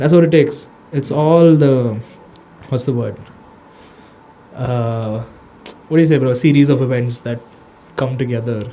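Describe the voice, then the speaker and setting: A man with an Indian accent at medium pitch, fairly even intonation, a moderate pace, and long, frequent pauses. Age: 20s. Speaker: social media manager for an MMA gym, podcast guest. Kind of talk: casual podcast conversation. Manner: casual, slangy.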